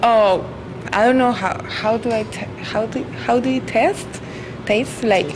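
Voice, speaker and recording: A woman with a Spanish accent at a fairly high pitch, ordinary pitch variation, a fairly slow pace and long, frequent pauses, amid noticeable background noise and audible room echo. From Colombia. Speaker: college student. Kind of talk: street interview. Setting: outdoors. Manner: halting.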